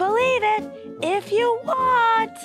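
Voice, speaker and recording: A cartoonish character voice at an extremely high pitch moves at a fairly slow pace, with clear music in the background. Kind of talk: kids' TV puppet comedy. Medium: puppet show. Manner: excited, earnest.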